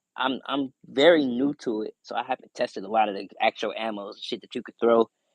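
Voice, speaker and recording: A man talks at a fairly quick pace and medium pitch with ordinary pitch variation. The sound is dry and close with no echo. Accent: American. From Buffalo, New York, US. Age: 20s. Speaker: livestreamer, gun collector. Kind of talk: casual livestream chat reading comments. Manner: fast; casual, slangy.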